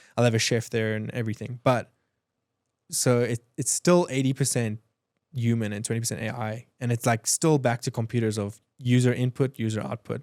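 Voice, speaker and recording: This man talks at a fairly quick pace with a South African accent. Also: medium pitch for a man. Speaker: entrepreneur, design agency owner. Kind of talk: podcast interview. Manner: fast, animated; stammering restarts.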